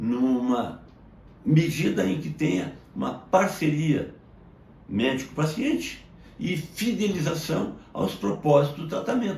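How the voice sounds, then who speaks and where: Speaking at a very slow pace, a man uses a fairly high pitch with very wide pitch swings and vocal fry, and audible room echo can be heard. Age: 70s. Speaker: medical doctor. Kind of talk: educational monologue. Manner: formal.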